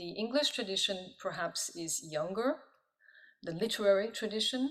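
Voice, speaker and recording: A woman speaks with a medium pitch. Her pace is moderate. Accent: French. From born in Pakistan, diplomatic family. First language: French. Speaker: professor of Italian and poet. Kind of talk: interview. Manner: halting, many fillers.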